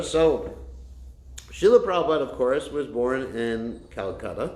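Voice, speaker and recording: Audible room echo surrounds a voice with very wide pitch swings. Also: man. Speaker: Hare Krishna preacher. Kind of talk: religious lecture. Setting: temple class, streamed online. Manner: loud. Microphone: no microphone.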